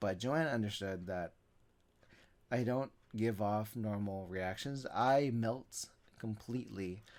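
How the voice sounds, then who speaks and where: This is a man with ordinary pitch variation. The recording is very clean, with a silent background. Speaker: podcast host. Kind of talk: casual monologue. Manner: halting, self-correcting.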